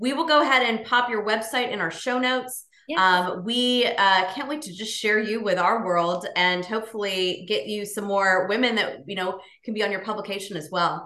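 With a plain, everyday voice, a woman talks at a moderate pace in a fairly high pitch, using ordinary pitch variation and hardly any pauses. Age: 40s. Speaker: podcast co-host. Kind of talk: casual chat. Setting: video call.

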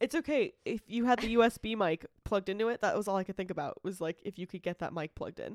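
A woman's fairly high, animated voice at a very fast pace, hardly any pauses, ordinary pitch variation and a dry, close sound with no echo. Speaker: podcast co-host. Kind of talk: casual chat. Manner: animated, laughs often.

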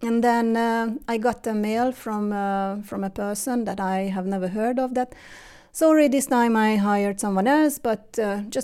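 Dark, mellow tone with a Hungarian accent, moderate pace and ordinary pitch variation. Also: woman. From Hungary. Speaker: interview guest, mother. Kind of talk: casual interview. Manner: halting.

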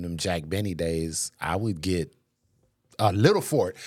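Over a silent background in a very clean recording, a man with an American accent and a plain, everyday voice speaks at a moderate pace. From Racine, Wisconsin. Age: 40s. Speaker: pastor's husband and podcast host. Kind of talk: casual interview chat.

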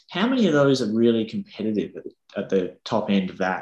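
A man with an Australian accent, medium pitch, moderate pace and lively intonation. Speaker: podcast host. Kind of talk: interview. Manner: casual.

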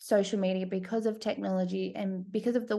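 A woman with an Australian accent speaks, and the background is quiet. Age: 30s. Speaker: podcast host. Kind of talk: interview.

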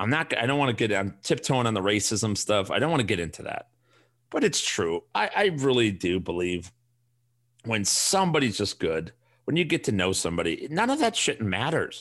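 With a Chicago accent, a man at medium pitch talks at a fairly quick pace, his voice making very wide pitch swings. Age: 40s. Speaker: fantasy sports podcast host. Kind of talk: casual solo podcast monologue. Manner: animated.

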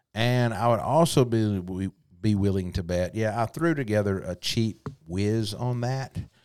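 A man with a Southern US accent talks at a fairly low pitch with ordinary pitch variation, in a very clean recording with a silent background. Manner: casual, conversational.

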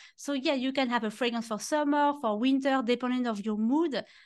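Speaking at a moderate pace with a French accent, a woman keeps a high pitch and fairly even intonation. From France. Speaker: fragrance expert. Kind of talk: casual chat.

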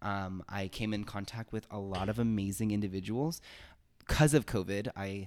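An ordinary speaking voice from a man with an American accent, at a moderate pace, on a very clean recording with a silent background. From Miami, Florida, then Los Angeles. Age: 20s. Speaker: podcast co-host, performing artist. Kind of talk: casual chat.

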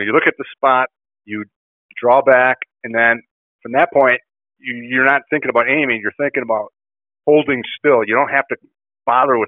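Here a man talks with an Upper Midwest accent at a medium pitch. His pace is fairly quick and his pitch varies in an ordinary way. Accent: Upper Midwest American. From Kenosha, Wisconsin. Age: 60s. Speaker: bowhunter. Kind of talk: casual interview.

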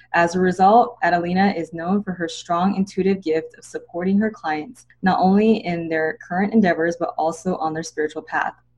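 With an ordinary speaking voice at a medium pitch, a woman talks at a fairly quick pace with hardly any pauses, fairly even intonation and big swings in loudness. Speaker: naturopathic doctor and podcast host.

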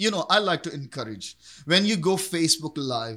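Using lively intonation, a man with a Pakistani accent speaks at a moderate pace. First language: Urdu. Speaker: pastor. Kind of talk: interview testimony.

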